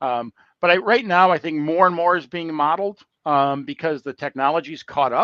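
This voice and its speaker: A man with an American accent speaks at a moderate pace, with ordinary pitch variation. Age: 60s. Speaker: construction technology business development manager. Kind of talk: casual interview on a live call. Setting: online call. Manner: halting, many fillers and restarts.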